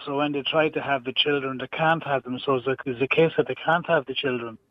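A man with an Irish accent, fairly quick and flat, in a monotone delivery. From Ireland. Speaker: radio caller. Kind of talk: heated call-in debate. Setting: phone call.

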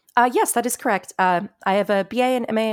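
Heard on a very clean recording with a silent background, a woman talks with an American accent. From South Florida. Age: 30s. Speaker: software engineer and open data specialist. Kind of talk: podcast interview. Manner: animated.

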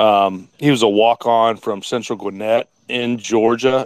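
This man has a normal speaking voice at a medium pitch. His intonation stays fairly even. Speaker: caller. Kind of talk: casual chat. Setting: online audio space.

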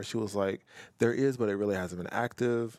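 With an unremarkable speaking voice, a man talks at fairly low pitch with ordinary pitch variation in a dry, close sound with no echo on a very clean recording with a silent background. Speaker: university staff member, guest. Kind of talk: casual interview.

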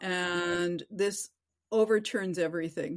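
Very cleanly recorded against a silent background, a woman with a Canadian accent talks at a fairly low pitch with ordinary pitch variation. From Vancouver, western Canada. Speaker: novelist. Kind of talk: interview.

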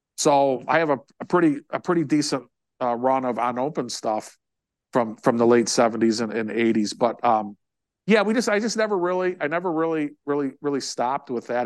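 In front of a quiet background, a man speaks at a moderate pace. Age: 60s. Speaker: autograph collector. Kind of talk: casual interview. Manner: halting, many repetitions.

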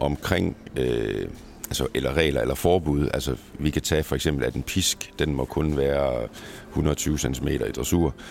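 Over noticeable background noise, a man speaks at a fairly slow pace in a very deep, low pitch. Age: 40s. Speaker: national pony show jumping coach. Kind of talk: interview. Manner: hesitant, many fillers.

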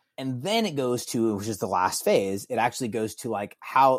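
A plain, everyday voice at a moderate pace with ordinary pitch variation, in a very clean recording with a silent background. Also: man. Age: 40s. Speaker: author and former musician. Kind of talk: casual chat.

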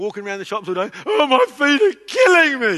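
Projected and raised, a man's voice rings out with a bright, sharp tone. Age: 40s. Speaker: pastor. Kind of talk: sermon.

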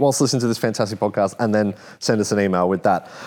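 This is a man with an Australian accent. The recording is very clean, with a silent background. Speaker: car podcast host. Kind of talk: casual chat.

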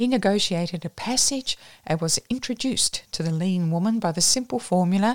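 The voice is a natural reading voice.

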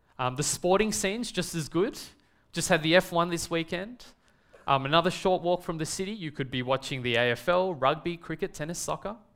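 Speech comes fairly quickly, with ordinary pitch variation. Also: man, high pitch for a man. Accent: Australian. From Australia, Melbourne. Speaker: preacher. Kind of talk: sermon.

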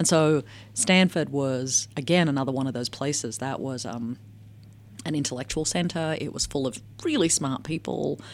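A woman speaks with an American accent at a moderate pace, her pitch very deep and low. Her intonation varies in an ordinary way, with vocal fry. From Australia, working-class Melbourne. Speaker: anthropologist and technology researcher. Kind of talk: interview.

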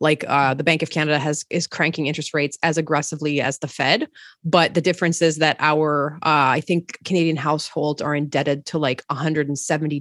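Her voice is very deep and low, spoken in a flat monotone at a fairly quick pace. The sound is dry and close with no echo, coming from a woman. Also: very clean recording, silent background. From Montreal, Quebec. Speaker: real estate investor. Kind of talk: interview.

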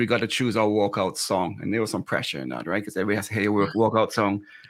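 A man with a fairly low pitch speaks in an unremarkable speaking voice with ordinary pitch variation. The recording is very clean, with a silent background. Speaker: swim coach and co-host. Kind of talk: casual chat.

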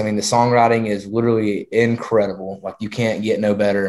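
Fairly quick, fairly even speech from a man at a medium pitch. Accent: rural Southern US. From rural Georgia. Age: young. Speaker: country singer-songwriter. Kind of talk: interview.

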